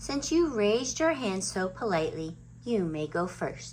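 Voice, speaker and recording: A female-sounding, put-on character voice speaks in a calm tone at a moderate pace. Background noise is clearly audible. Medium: read story. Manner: calm, teacherly.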